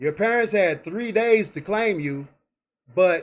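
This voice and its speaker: The man's delivery is fairly slow. Ordinary variation shows in his pitch. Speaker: online video host. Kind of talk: live stream commentary. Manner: stuttering.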